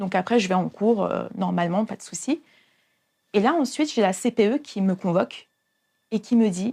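With a dark, mellow tone, a woman talks at a moderate pace, using lively intonation and long, frequent pauses. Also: medium pitch for a woman. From Paris region, France. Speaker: youth church leader. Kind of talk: testimony. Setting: hair salon. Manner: halting.

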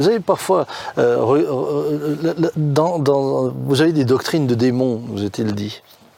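A man speaks very slowly at medium pitch with ordinary pitch variation. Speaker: pastor. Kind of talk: casual chat.

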